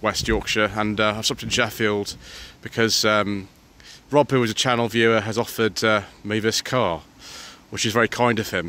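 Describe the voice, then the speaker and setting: A man speaks at a moderate pace in a fairly low voice with a bright, sharp tone. The sound is dry with no echo, over light background noise. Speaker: car reviewer. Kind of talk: car review commentary. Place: street. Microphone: phone near.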